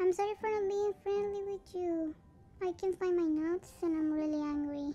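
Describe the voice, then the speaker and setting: A cartoonish character voice at extremely high pitch moves at a moderate pace over clear background noise. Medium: puppet show. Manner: suspicious and angry, then grateful and cheerful.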